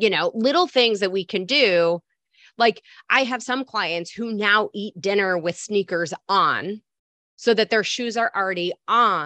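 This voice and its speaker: With an American accent, a woman speaks at a fairly slow pace in a medium pitch, her bright, sharp tone showing ordinary pitch variation in a dry, close sound with no echo. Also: quiet background. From Michigan. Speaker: health coach. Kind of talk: interview conversation.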